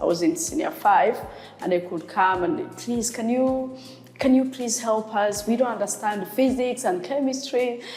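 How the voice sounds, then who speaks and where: Music plays in the background as a woman with a Rwandan accent speaks at a fairly high pitch and a fairly slow pace, her lively intonation carrying audible room echo. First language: Kinyarwanda. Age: 30s. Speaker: sign language interpreter. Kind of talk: interview. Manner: hesitant with fillers.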